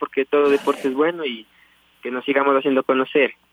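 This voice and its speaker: This is a man talking. He speaks at a medium pitch. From Ecuador, Tulcán, Carchi province. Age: 20s. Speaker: professional cyclist. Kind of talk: radio interview.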